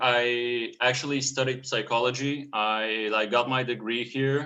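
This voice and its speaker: A man speaks with a Bulgarian accent. His medium pitch has a bright, sharp tone. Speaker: painter and clothing brand artist. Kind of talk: casual interview.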